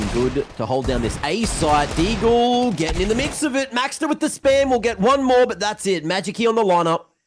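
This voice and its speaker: A man's high-pitched voice in an Australian accent, with very wide pitch swings, a moderate pace and hardly any pauses. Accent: thick Australian. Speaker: esports commentator. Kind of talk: live commentary. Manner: animated.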